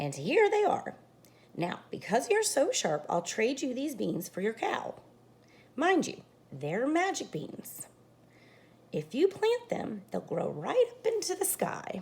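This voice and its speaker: A woman's high-pitched, put-on character voice at a fairly slow pace, with long, frequent pauses. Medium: read story.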